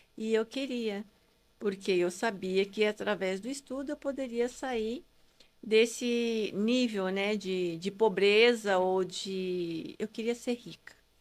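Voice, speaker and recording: In a fairly high voice with ordinary pitch variation, a woman speaks at a very slow pace. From Brazil, Japanese-descendant family. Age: 60s. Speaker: integrative therapist. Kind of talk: podcast interview.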